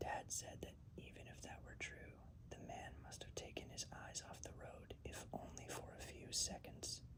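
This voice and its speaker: Whispering at a fairly slow pace. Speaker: ASMR reader. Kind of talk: read story. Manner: whispered.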